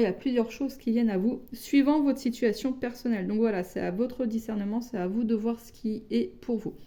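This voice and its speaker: Fairly even intonation shapes a dark, mellow tone. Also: woman. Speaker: tarot card reader. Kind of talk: tarot reading. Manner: hesitant, with many fillers.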